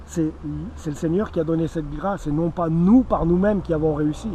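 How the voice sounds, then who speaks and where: A man at a fairly quick pace, fairly high in pitch for a man, with ordinary pitch variation. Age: 40s. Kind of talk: evangelistic testimony. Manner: hesitant, with fillers and repetitions.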